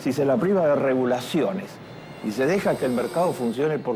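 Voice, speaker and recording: A man talks at a moderate pace in a fairly high voice, with lively intonation and music playing in the background. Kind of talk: interview answer, expert commentary.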